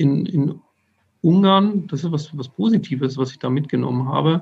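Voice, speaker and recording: At a moderate pace, a somewhat breathy man with a fairly high pitch speaks with ordinary pitch variation, big swings in loudness, and long, frequent pauses. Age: 30s. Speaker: safety engineer. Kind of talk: interview. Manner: halting.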